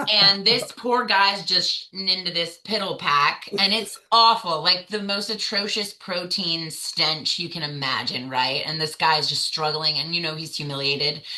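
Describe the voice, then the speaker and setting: A woman with an American accent, fairly low in pitch, animated in tone, with ordinary pitch variation, a moderate pace, hardly any pauses and noticeable background noise. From US South. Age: 30s. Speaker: navy veteran. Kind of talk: interview.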